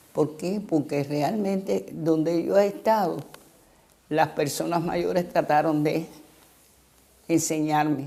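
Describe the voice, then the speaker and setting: In a Cuban accent, a woman speaks at a fairly slow pace. Her pitch is very deep and low, with ordinary variation. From Cuba, Santiago de Cuba then Havana. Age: 80s+. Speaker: former literacy campaign volunteer teacher. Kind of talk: interview testimony.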